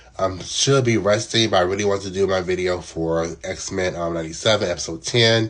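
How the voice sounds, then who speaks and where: A man speaks at a fairly quick pace in a fairly low pitch. His intonation is fairly even, with noticeable background noise behind him. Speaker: TV show reviewer. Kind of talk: casual video review. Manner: hesitant, many fillers.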